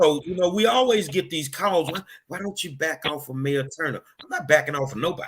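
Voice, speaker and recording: A man with a normal speaking voice and an American accent, fairly high in pitch, at a fairly quick pace with lively intonation. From Texas, Houston. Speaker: online show host. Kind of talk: interview.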